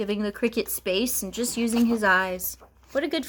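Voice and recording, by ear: The voice reads aloud naturally, its pitch varying in an ordinary way.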